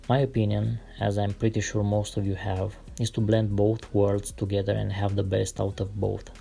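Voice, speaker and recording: This man speaks with an Eastern European accent. His pace is moderate. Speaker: artist sketching concept cars. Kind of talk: relaxed drawing tutorial with commentary. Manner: calm, relaxed.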